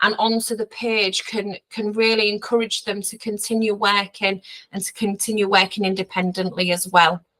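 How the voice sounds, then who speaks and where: Her voice is fairly high and bright, with a sharp tone, and she speaks in a monotone, flat intonation. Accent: Hull. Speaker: dyslexia specialist teacher. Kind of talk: training webinar presentation. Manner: halting, many fillers.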